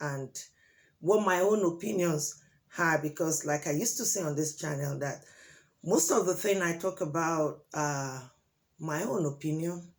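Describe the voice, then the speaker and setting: A woman with a very deep, low pitch, ordinary pitch variation and a Nigerian accent, at a moderate pace. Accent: Nigerian (Yoruba) English. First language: Yoruba. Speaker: relationship advice vlogger. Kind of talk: opinion monologue to camera.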